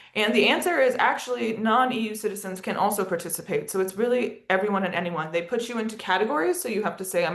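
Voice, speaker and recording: Speaking at a very fast pace with ordinary pitch variation, a woman with an American accent is heard with audible room echo. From United States. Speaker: education and partnership lead at an advocacy organisation, webinar presenter. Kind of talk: webinar presentation. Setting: video call.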